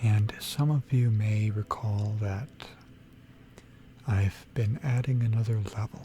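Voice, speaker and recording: Delivered in a relaxed tone at a very slow pace, the speech has long, frequent pauses over noticeable background noise. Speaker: ASMR gaming content creator. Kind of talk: ASMR gaming sleep aid, soft-spoken narration of a game tour. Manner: soft-spoken, relaxed.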